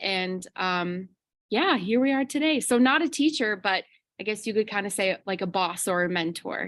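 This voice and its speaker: With a slight Chicago accent, a woman speaks at a medium pitch with lively intonation on a very clean recording with a silent background. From Chicago suburbs, Illinois, US. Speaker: kindergarten teacher. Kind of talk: interview.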